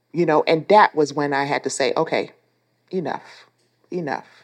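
Against a quiet background, a woman talks at a moderate pace with a very deep, low pitch. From Texas (El Paso), born in Panama. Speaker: war veteran, former prisoner of war. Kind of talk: interview testimony.

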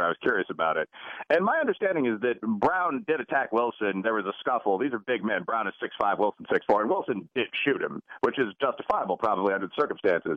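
A man with a Chicago accent talks at a very fast pace. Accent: Chicago American. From US Midwest, Chicago. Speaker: professor. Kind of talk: radio interview. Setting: phone call.

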